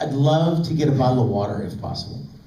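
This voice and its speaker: A man talks with lively intonation amid noticeable background noise. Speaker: voice actor. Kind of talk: convention panel talk. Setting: convention hall. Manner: upbeat, energetic.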